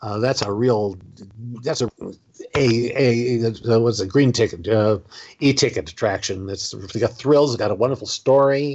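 Here a man speaks with an American accent at a moderate pace, in a medium pitch. His pitch varies in an ordinary way, and he has an ordinary speaking voice. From Southern California. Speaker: former theme park performer and author. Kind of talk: interview.

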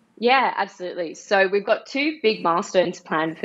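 With an Australian accent, a woman talks at a moderate pace using lively intonation. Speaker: NFT project co-founder. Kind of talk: casual interview.

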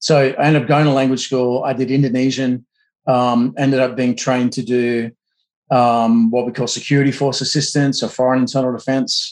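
Delivered at a moderate pace, a man's medium-pitched voice with an Australian accent keeps very even loudness and a monotone, flat intonation. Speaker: counterinsurgency expert. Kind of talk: interview.

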